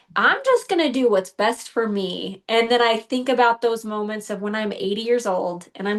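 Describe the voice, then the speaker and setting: With fairly even intonation, a plain, everyday voice proceeds at a moderate pace. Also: woman. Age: 40s. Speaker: bodybuilding competitor. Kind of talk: podcast interview.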